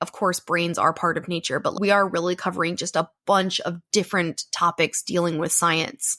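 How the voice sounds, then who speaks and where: Heard in a dry, close sound with no echo, a woman's bright, sharp tone comes at a moderate pace. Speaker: science and nature podcast co-host. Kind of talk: casual chat.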